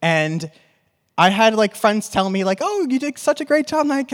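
A man with an American accent speaks at a moderate pace with very wide pitch swings, recorded very cleanly against a silent background. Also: dry, close sound with no echo. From New York. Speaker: podcast host. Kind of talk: live panel discussion. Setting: stage with audience.

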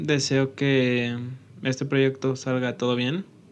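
A man's voice at a medium pitch, speaking at a fairly slow pace. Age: 20s. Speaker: podcast host and engineering student. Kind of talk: channel introduction monologue.

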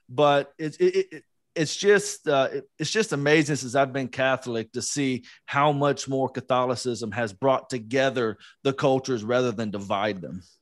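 In an unremarkable speaking voice, a man with an American accent talks at a medium pitch with lively intonation over a quiet background. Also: moderate pace. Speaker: podcast co-host, guest. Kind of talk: casual interview chat.

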